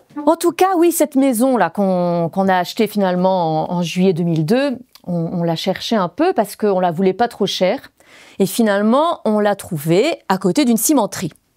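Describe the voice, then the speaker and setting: Lively in intonation, a woman with a Belgian accent speaks at a medium pitch and a moderate pace in a dark, mellow tone. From Belgium. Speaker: former French teacher and eco-building activist. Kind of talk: stage talk performance.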